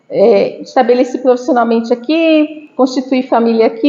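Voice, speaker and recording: With a Santa Catarina accent, a woman talks at a moderate pace in a high pitch, her intonation fairly even. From Brazil, Santa Catarina (Florianópolis). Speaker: university professor. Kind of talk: lecture. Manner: conversational, many fillers.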